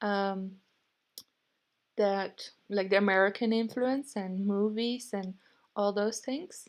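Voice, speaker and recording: Long, frequent pauses break up the speech, which is very slow in pace. The intonation is fairly even. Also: woman, medium pitch for a woman. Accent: Dutch. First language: Dutch. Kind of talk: casual talk to camera.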